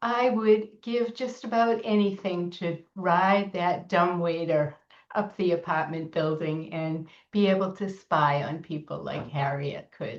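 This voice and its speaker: A woman with an American accent talks at a fairly slow pace. Her voice sits fairly low, with ordinary pitch variation. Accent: Boston accent, occasional. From Massachusetts, Boston area. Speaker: children's book author. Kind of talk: author interview. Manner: hesitant, many fillers.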